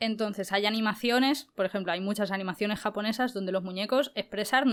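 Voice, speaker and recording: A woman with fairly even intonation. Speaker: voice actress and youtuber. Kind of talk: interview.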